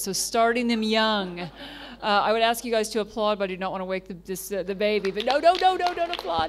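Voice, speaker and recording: Recorded very cleanly with a silent background, a woman speaks in an ordinary speaking voice at medium pitch with fairly even intonation. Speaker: panel moderator. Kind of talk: panel moderation. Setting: conference room with audience.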